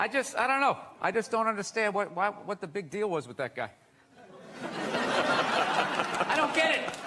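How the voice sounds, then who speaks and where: A man with a high voice speaks fairly slowly, his pitch swinging very widely. Noticeable noise sits in the background. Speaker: stand-up comedian; actor. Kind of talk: casual talk show banter.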